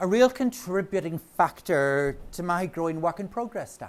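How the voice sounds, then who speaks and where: In a Northern Irish accent, a man speaks at a moderate pace with a high pitch. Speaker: knitting author and speaker. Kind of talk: talk to a live audience. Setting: stage with audience. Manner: animated.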